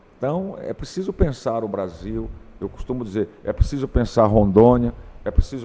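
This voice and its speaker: A man speaks at a moderate pace with a dark, mellow tone. His pitch is medium, with ordinary variation. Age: 60s. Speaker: teacher. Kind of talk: interview.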